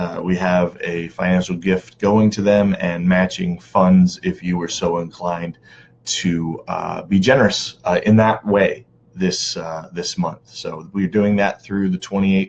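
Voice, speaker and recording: A man speaks quietly in a very deep, low voice. His delivery is a flat monotone at a fairly slow pace. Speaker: community organizer and live stream host. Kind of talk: live stream talk to viewers. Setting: online live video broadcast. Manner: quiet, holding back volume; casual, many filler words.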